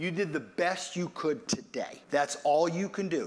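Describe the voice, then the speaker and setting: This is a man speaking at a high pitch. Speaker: preacher. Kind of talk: sermon.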